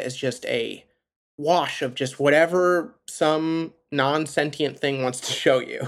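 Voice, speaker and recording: A man's normal speaking voice, fairly high pitch with ordinary pitch variation, an American accent and a fairly slow pace, on a very clean recording with a silent background. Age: 30s. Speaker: podcast host. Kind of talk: interview.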